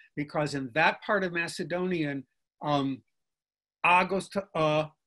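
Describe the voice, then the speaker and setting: Over a quiet background, a man with a Chicago accent speaks in a fairly high voice with a bright, sharp tone. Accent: Chicago American English. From Chicago South Side, US. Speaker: linguistics professor. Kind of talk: interview conversation. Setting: video call. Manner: repeats words when starting sentences; animated.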